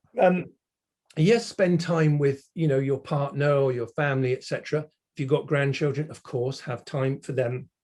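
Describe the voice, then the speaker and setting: A somewhat breathy man speaks with a fairly high pitch. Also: ordinary pitch variation, moderate pace. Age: 60s. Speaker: automotive industry consultant. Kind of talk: casual interview chat.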